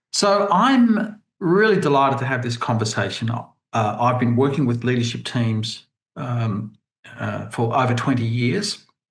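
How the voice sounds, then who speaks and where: This man talks at a very slow pace, somewhat breathy, with lively intonation. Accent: Australian. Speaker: leadership team coach. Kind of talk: webinar presentation. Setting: video call. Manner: hesitant, many fillers.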